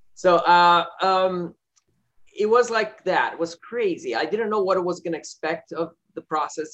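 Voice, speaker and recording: A man with a Portuguese accent speaks at a high pitch and a moderate pace. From Brazil, Rio de Janeiro. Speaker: film director. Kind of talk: interview. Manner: halting, many fillers.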